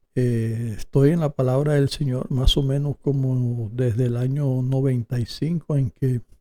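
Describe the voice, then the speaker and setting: A man's medium-pitched, somewhat breathy voice with a dark, mellow tone, fairly even intonation and a fairly slow pace, in a dry, close sound with no echo. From Colombia. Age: 60s. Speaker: preacher. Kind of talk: interview.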